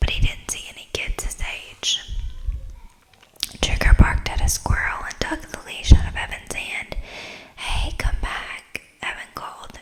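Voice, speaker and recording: Someone whispers at a fairly slow pace, with long, frequent pauses. Noticeable background noise is present. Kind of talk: ASMR bedtime story reading. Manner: whispered, soft-spoken.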